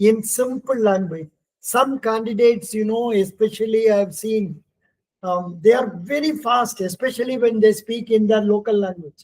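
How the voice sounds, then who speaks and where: Loud and high-pitched, a man speaks at a fairly slow pace with ordinary pitch variation. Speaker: interview coach for bank exams. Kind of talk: lecture. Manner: raised voice.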